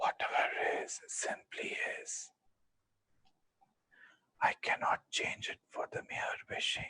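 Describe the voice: A man's whispering, raspy put-on character voice at a fairly slow pace, with long, frequent pauses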